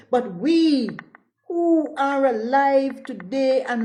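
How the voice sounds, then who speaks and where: The room echo is audible as a woman speaks in an animated tone. Her pitch is high, with ordinary variation. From St. Vincent and the Grenadines. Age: 60s. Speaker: political party spokesperson. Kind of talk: political address.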